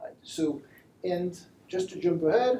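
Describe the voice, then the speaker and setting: A man with a French accent speaks at a high pitch, his pitch varying in an ordinary way. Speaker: machine learning engineer. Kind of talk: lecture. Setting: live stream talk with audience. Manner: halting.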